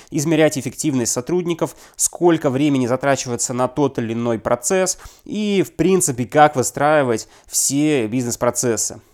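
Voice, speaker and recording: A man with an ordinary speaking voice, fairly high in pitch, with ordinary pitch variation and a moderate pace, on a very clean recording with a silent background. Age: 30s. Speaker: business consultant and appraiser. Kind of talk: scripted podcast monologue.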